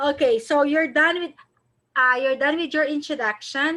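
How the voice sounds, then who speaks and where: With lively intonation, a woman raises and projects her high-pitched voice. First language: not English. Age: 40s. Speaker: online English teacher. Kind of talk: online tutoring lesson.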